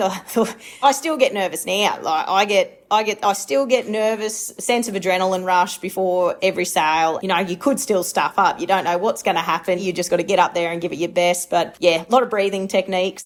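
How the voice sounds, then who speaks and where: A woman speaks at a medium pitch with ordinary pitch variation. Her speech runs on with hardly any pauses. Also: fairly quick pace. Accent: rural Australian. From rural Queensland, Australia. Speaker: livestock agent and auctioneer. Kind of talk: interview.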